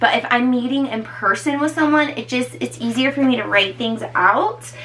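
This is a woman speaking. Her pitch varies in an ordinary way. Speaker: personal trainer. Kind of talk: casual vlog chat. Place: home room. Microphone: camera far.

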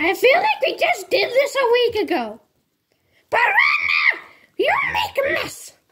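Shouting in a cartoonish character voice at an extremely high pitch, the speaker moves at a fairly slow pace with long, frequent pauses. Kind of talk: comedic puppet show dialogue. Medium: puppet.

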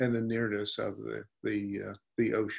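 A man talks at a moderate pace. Background music plays behind him. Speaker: presenter. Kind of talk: lecture. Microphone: webcam.

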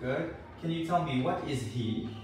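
Audible room echo surrounds a man whose fairly high pitch moves with lively intonation at a fairly slow pace.

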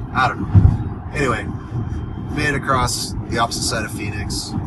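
A man speaks at a moderate pace in a dry sound with no echo. Loud background noise is present. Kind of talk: casual vlog chat. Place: car. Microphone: phone near.

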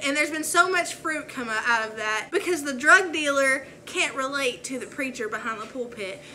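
With ordinary pitch variation, a woman talks at a moderate pace in a bright, sharp tone.

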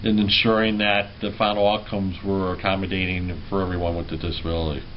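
A man speaks in an ordinary speaking voice at a moderate pace. His pitch variation is ordinary, with light background noise. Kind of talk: interview answer. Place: office. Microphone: camera far.

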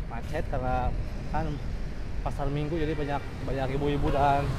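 There is loud noise in the background. Over it, a man's speech moves fairly quickly. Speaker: cyclist vlogger. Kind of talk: casual vlog chat. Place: bicycle. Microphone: phone near.

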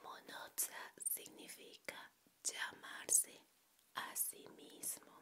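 A woman whispers softly at a very slow pace. Noticeable background noise can be heard. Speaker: educational vlogger. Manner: soft whispered explanation. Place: home room. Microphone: handheld.

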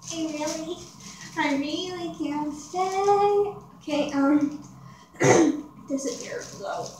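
A woman with a high pitch and ordinary pitch variation speaks at a very slow pace. Light background noise and audible room echo are present. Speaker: vlogger. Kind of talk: casual talk to camera. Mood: giggly, playful. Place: home room. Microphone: phone near.

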